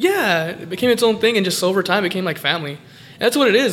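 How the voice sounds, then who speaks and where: A man with an American accent talks at a very fast pace. Noticeable background noise is present. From California. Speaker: pro wrestler. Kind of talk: casual interview. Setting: recorded on location in a game shop.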